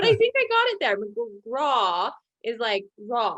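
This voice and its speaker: A woman speaks in an unremarkable speaking voice. Her pitch is fairly high and her intonation lively. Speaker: interview show host. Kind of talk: video interview.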